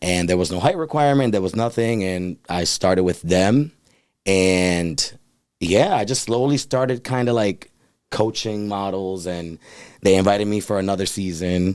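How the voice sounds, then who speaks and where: An unremarkable speaking voice from a man with an American accent, fairly low in pitch, with ordinary pitch variation at a moderate pace. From US Northeast, Providence, Rhode Island. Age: 30s. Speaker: model and life coach. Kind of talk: casual interview. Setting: studio.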